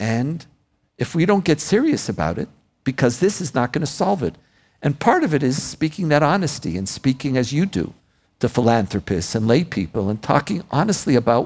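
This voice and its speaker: Recorded very cleanly against a silent background, a man with vocal fry talks at a moderate pace through very wide pitch swings. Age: 60s. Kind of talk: live onstage interview. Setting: stage with audience.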